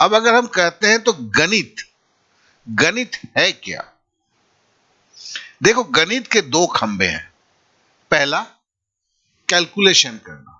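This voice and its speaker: A high-pitched man's voice with very wide pitch swings, big swings in loudness, and long, frequent pauses. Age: 60s. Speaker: math teacher. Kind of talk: lecture.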